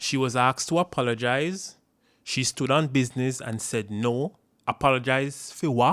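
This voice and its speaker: Recorded very cleanly against a silent background, a man speaks at a moderate pace and medium pitch in a normal speaking voice, the sound dry and close with no echo. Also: ordinary pitch variation. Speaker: political commentator. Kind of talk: political commentary to camera.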